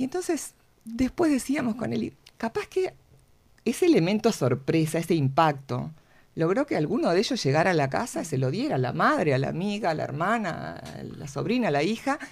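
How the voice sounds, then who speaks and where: Someone speaks at a fairly quick pace in a Uruguayan accent. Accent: Rioplatense Spanish (Uruguayan). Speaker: cancer support group co-founder. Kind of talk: radio interview. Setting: radio studio.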